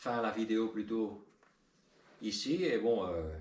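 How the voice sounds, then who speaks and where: A man with a Spanish accent speaks at a very slow pace and medium pitch. Audible room echo surrounds his voice. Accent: rusty French, thinks in Spanish. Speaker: car hobbyist youtuber. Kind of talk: tutorial. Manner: halting, many hesitations.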